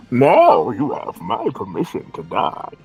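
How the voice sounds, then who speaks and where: Fairly slow delivery from a man in a put-on character voice. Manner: menacing.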